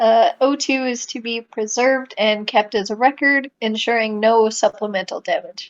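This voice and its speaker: A high-pitched woman's voice with ordinary pitch variation. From Canada. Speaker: podcast guest, writer. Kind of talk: reading aloud; casual chat.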